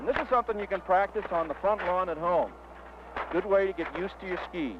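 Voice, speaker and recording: Over noticeable background noise, a man talks very fast in a high voice with ordinary pitch variation. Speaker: ski instructor. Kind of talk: instructional demonstration narration. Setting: outdoors on a mountain slope, 1969 film recording. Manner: friendly, encouraging, conversational.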